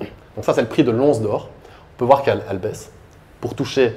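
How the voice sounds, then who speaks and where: A man is speaking. His pace is fairly quick. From Belgium, Liège; Belgium. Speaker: crypto asset manager and conference speaker; conference speaker. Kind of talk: conference talk. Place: hall. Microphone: handheld.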